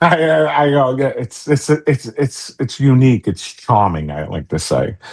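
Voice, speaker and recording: A man with a New York accent, medium pitch and very wide pitch swings, at a fairly slow pace. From New York City. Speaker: tech company CEO. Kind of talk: podcast interview. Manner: casual, halting.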